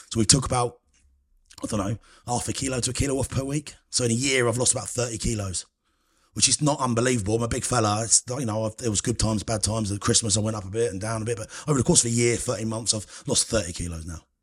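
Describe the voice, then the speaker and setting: The speaker has a southern English accent and a somewhat breathy voice. Words come at a very fast pace, with ordinary pitch variation. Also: man, medium pitch for a man. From England, Cambridgeshire. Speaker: food critic. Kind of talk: casual chat.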